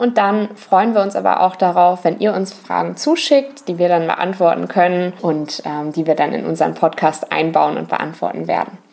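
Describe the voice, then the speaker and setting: A woman speaks at a moderate pace with hardly any pauses. Noticeable background noise runs underneath. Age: 20s. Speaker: travel podcast co-host. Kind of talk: casual chat.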